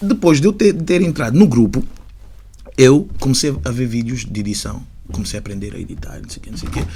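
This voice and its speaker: At a fairly quick pace, a man speaks at a medium pitch in a dark, mellow tone with vocal fry, very wide pitch swings and big swings in loudness. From Portugal, Lisbon area (Catujal), Angolan family. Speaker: rapper. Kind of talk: podcast interview. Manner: halting, many fillers.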